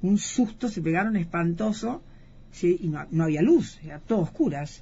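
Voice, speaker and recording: With lively intonation and a somewhat breathy voice, a woman talks at a fairly slow pace. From Argentina. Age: 60s. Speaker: eyewitness interviewee. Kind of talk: interview testimony. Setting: radio studio.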